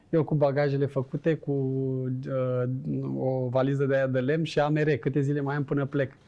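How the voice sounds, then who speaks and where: A man talks in a flat, monotone intonation at a moderate pace while noticeable background noise carries on. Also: fairly high pitch for a man. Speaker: former footballer and businessman. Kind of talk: casual interview chat.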